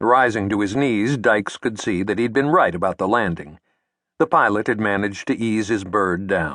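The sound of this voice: An unforced reading voice with ordinary pitch variation, over a quiet background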